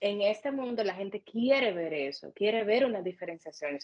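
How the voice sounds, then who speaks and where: A woman's normal speaking voice at medium pitch, moderate pace, and lively intonation. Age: 30s. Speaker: makeup artist and beauty studio owner. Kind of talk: interview.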